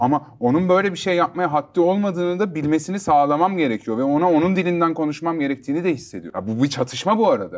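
Talking at a very fast pace, a man uses a fairly high voice. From Istanbul, Turkey; Turkey. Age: 30s. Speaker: rapper and music producer; interview guest. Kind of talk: interview. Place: studio. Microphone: lapel.

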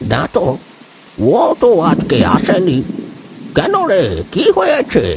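Using a put-on character voice, a man talks at a fairly slow pace in a high pitch, his pitch swinging very widely while his loudness stays very even. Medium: audio drama. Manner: familiar, brisk.

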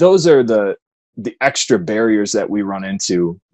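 A man's voice with ordinary pitch variation and a quiet background. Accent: Midwestern American. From US Midwest, southwest Michigan. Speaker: Paralympian and personal trainer; personal trainer. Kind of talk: interview. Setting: remote interview from home. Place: home room. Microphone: earbuds.

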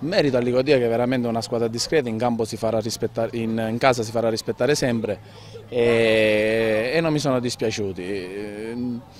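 At a moderate pace, a man speaks with fairly even intonation. The sound is dry with no echo, and there is light background noise. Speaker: football coach. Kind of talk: post-match interview. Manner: halting, hesitant with repetitions. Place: open country. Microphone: handheld.

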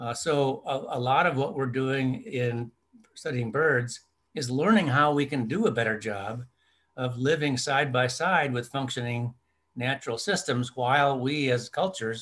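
The voice is a normal speaking voice with an American accent. It moves at a moderate pace with ordinary pitch variation. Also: man. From US Midwest, rural Minnesota. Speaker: ornithologist. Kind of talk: interview.

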